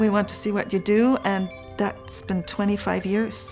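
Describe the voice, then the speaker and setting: A woman's voice with music in the background. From Germany. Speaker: folk artist, egg decorating teacher. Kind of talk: interview answer.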